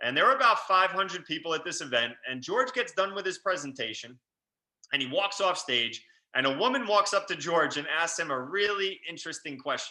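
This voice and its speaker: In a New York accent, the speaker talks at a fairly quick pace with an animated, bright, sharp tone and very wide pitch swings. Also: man, high pitch for a man. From New York, Long Island. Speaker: real estate investor. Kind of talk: webinar presentation. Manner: fast.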